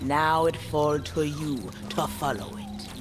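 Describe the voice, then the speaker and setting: Over loud music in the background, a man performs a put-on character voice. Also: fairly high pitch for a man, fairly slow pace. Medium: game stream. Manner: cryptic, solemn.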